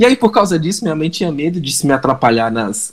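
Lively intonation and a fairly quick pace in a mineiro accent. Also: man. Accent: mineiro accent, clipped words. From Minas Gerais, Brazil. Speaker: digital marketing entrepreneur. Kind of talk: podcast interview. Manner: animated.

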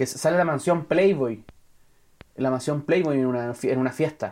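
This man has a fairly high pitch and a dark, mellow tone. His intonation stays fairly even against a quiet background. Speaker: film podcast host. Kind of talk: casual chat.

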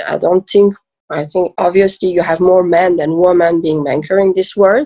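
In a dry, close sound with no echo, a woman with a medium pitch and a dark, mellow tone speaks at a moderate pace. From Switzerland (French-speaking), born in Iran. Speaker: private banker. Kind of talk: interview conversation. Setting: video call.

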